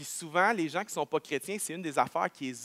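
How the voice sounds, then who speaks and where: Recorded in a dry, close sound with no echo, a man with a Quebec accent speaks at a fairly quick pace in a fairly high voice with lively intonation. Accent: Québécois French. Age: 30s. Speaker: pastor. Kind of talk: sermon. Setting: church.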